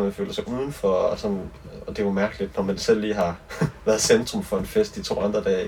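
With noticeable background noise behind him, the man keeps a fairly quick pace. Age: 20s. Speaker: singer-songwriter. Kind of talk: casual chat. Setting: on a boat.

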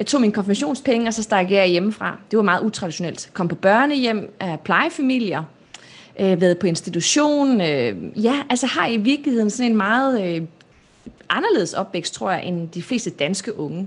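A woman talks at a moderate pace in a normal speaking voice. Her pitch is medium and her intonation lively. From Denmark, North and South Jutland. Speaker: public speaker and entrepreneur. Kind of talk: live-streamed interview.

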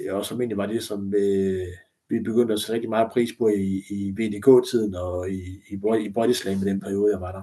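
A man's fairly low, dark, mellow voice at a moderate pace, monotone and flat. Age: 30s. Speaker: former pro wrestler. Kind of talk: casual interview. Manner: halting, many fillers and repetitions.

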